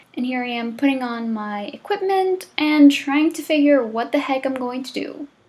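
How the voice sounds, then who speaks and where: With noticeable background noise behind her, a woman speaks at a moderate pace in a high pitch with ordinary pitch variation, big swings in loudness and hardly any pauses. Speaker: crafting vlogger. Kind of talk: voiceover narration; casual vlog talk. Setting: recorded voiceover.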